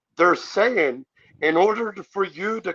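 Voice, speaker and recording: A man's raised, projected voice with a bright, sharp tone, in a dry, close sound with no echo. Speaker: sovereign citizen commentator. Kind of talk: heated debate. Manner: loud.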